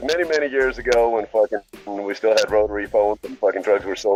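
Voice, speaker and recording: A man with a non-native accent talks at medium pitch and a fairly quick pace. Music plays in the background. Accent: foreign accent that never went away. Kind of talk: casual, profane.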